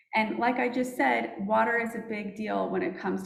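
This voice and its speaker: A woman talks at a fairly quick pace. The room gives off an audible echo. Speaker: fiber company representative. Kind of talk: conference presentation.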